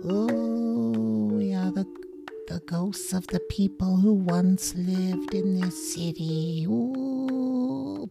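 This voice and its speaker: A put-on character voice at middle pitch and a very slow pace, over clear background music. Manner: mournful.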